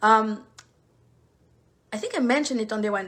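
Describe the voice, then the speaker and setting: A woman speaks with a strong French accent in a bright, sharp tone at a fairly high pitch. Her pitch variation is ordinary, and the recording is very clean with a silent background. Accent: thick French. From Paris, France; lives in Charleston, South Carolina. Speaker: live online session host or trainer.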